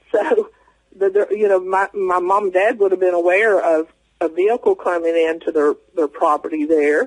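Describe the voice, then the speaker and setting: With an American accent and a high pitch, a man speaks at a moderate pace with very even loudness and ordinary pitch variation, the sound dry and close with no echo. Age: 60s. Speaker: eyewitness guest. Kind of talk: interview testimony. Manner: halting, many fillers.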